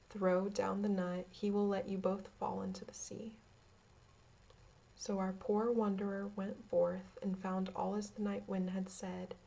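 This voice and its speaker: Over noticeable background noise, a woman speaks in a calm tone at a fairly slow pace. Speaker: ASMR creator. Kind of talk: ASMR story reading. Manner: calm, relaxing.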